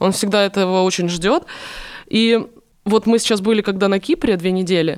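A woman's animated, medium-pitched voice at a moderate pace, with long, frequent pauses, ordinary pitch variation and very even loudness. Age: 20s. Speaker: TV presenter and blogger. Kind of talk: casual chat.

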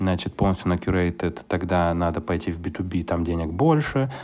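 A man with a very deep, low voice talks at a moderate speed. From Ukraine, Kyiv. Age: 20s. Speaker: product manager and entrepreneur. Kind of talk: casual interview chat. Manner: animated.

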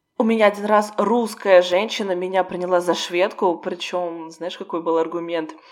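A woman with a medium pitch, fairly even intonation and a moderate pace, hardly any pauses, and noticeable background noise. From Russia. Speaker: podcast co-host, Russian expat. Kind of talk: casual chat.

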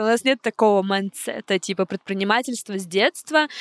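A woman's normal speaking voice at a moderate pace with ordinary pitch variation, in a dry, close sound with no echo. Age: 20s. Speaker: podcast co-host, podcast studio founder. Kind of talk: casual chat. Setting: studio.

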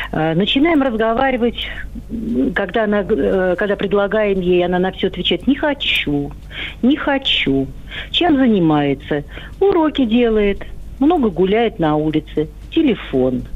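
A woman's medium-pitched voice with very wide pitch swings and very even loudness, at a fairly slow pace with long, frequent pauses, over noticeable background noise. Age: old. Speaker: caller, grandmother. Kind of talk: phone-in question. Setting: phone call.

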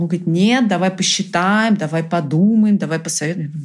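A woman speaks at a moderate pace in a fairly low pitch. Her voice is somewhat breathy. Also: very clean recording, silent background. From Brazil. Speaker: entrepreneur. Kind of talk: interview. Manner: animated.

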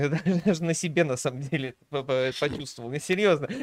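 This man has an ordinary speaking voice. He keeps a moderate pace with ordinary pitch variation. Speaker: streamer co-host. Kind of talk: casual reaction stream commentary.

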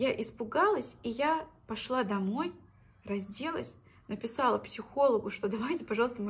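At a moderate pace, a woman with a fairly high pitch and vocal fry speaks with ordinary pitch variation. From Russia, Orenburg region (Orsk). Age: 20s. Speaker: podcaster, former teacher. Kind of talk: personal story monologue.

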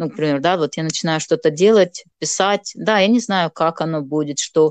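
This woman has a fairly low pitch and ordinary pitch variation. She talks at a moderate pace. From Moldova. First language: Gagauz (Turkic) (speaking Russian). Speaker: writer and blogger. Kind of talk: casual interview.

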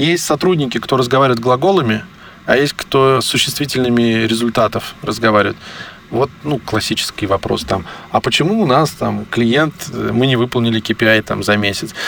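The voice keeps very even loudness at a moderate pace, with ordinary pitch variation. Noticeable background noise runs underneath. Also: man, medium pitch for a man. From Armenian roots, raised culturally in Russia. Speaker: digital agency executive. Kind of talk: interview.

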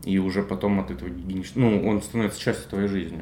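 A man's fairly low voice, a normal speaking voice with ordinary pitch variation. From Russia, Belgorod. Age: 20s. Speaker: podcast co-host, digital marketer. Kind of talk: casual chat.

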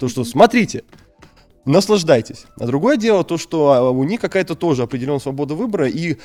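Here a man with a fairly high pitch speaks at a moderate pace, his voice swinging very widely in pitch. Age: 20s. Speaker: school teacher and deputy principal. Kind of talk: interview conversation. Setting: studio. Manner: halting.

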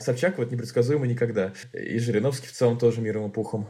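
A man at a very fast pace, somewhat breathy. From Tolyatti, Russia. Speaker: journalist. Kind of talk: casual chat.

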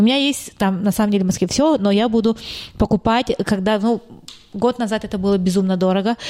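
A woman talks at a fairly quick pace with very even loudness. Her pitch sits in the medium range with ordinary variation, over noticeable background noise. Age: 30s. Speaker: real estate agency owner. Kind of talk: casual interview.

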